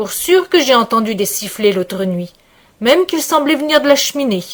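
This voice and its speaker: Using a put-on character voice, a woman speaks at a moderate pace in a high pitch with very wide swings. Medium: read story. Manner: blunt, suspicious.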